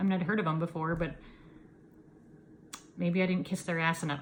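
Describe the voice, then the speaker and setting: A somewhat breathy woman with an American accent. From Iowa, US Midwest. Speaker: yarn dyer and knitting video host. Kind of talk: casual chat. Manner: halting, many fillers.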